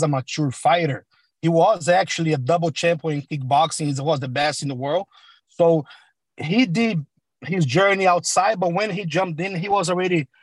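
A man's high-pitched voice at a moderate pace with ordinary pitch variation, in a dry, close sound with no echo. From Brazil (Sao Paulo). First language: Portuguese. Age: 30s. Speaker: MMA coach. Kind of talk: interview. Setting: video call.

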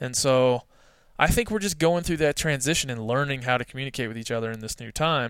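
The speaker talks at a very fast pace with an American accent. Pitch variation is ordinary. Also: man, medium pitch for a man. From US East Coast. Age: 30s. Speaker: hunting writer and editor. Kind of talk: casual interview. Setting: remote call.

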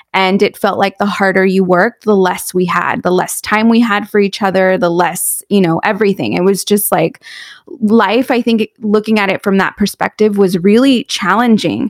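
In an unremarkable speaking voice, a woman talks at a moderate pace and medium pitch with very even loudness and fairly even intonation, the sound dry and close with no echo on a very clean recording with a silent background. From US West Coast, South Orange County, California. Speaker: money coach and author. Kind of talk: casual interview.

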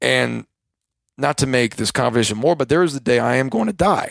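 A man's ordinary speaking voice, medium in pitch, at a fairly quick pace with ordinary pitch variation, dry and close with no echo. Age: 20s. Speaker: lawn and landscape business owner. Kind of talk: casual interview chat.

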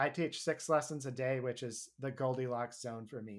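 A plain, everyday voice moves at a fairly quick pace with fairly even intonation on a very clean recording with a silent background. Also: man. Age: 30s. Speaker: bluegrass musician and music teacher. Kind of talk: interview.

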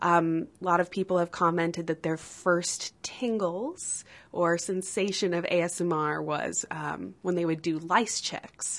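The speaker has a normal speaking voice. Intonation stays fairly even. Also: woman. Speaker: health coach and A S M R artist. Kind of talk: recorded interview.

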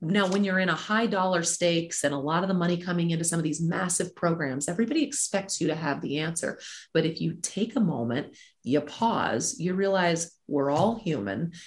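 Lively in intonation, a woman talks at a fairly quick pace in a fairly low, somewhat breathy voice. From moved around; Alabama and Nebraska. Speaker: sports executive. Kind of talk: interview.

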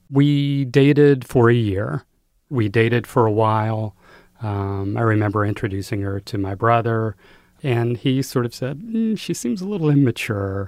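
A man with an American accent and an unremarkable speaking voice, medium in pitch with ordinary pitch variation, at a moderate pace against a quiet background. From US South, North Carolina. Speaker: memoir author. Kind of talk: interview.

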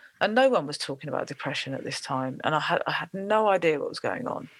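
A woman speaks with a London accent. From South East London. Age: 40s. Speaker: singer-songwriter and music producer. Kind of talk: interview conversation.

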